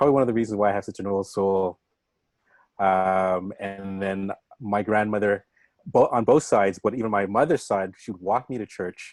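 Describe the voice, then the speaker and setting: Speaking with a Canadian accent and a normal speaking voice, a man talks at a fairly quick pace in a fairly low pitch with fairly even intonation, the sound dry and close with no echo over a quiet background. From Canada, Scarborough, Toronto. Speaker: showcase host. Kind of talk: casual talk to audience.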